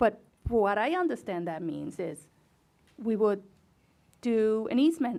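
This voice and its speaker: The speaker has a non-native accent and very wide pitch swings. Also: woman. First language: not English. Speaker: school board member. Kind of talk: board meeting discussion.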